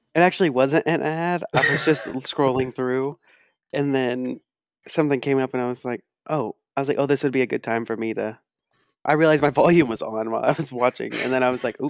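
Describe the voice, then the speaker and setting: A man with a plain, everyday voice speaks at a fairly quick clip and medium pitch, with ordinary pitch variation, in a very clean, silent recording that sounds dry and close with no echo. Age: 20s. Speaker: podcast co-host. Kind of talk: casual chat.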